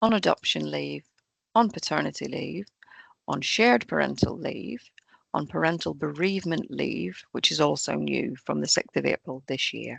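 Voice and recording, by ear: A woman speaks low in pitch, croaky and with vocal fry and a slightly husky edge, her pitch varying in an ordinary way. The sound is dry and close, with no echo.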